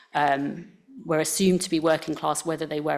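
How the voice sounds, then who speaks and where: Very deep, low pitch from a woman. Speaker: equality and diversity manager giving talk. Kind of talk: farewell talk.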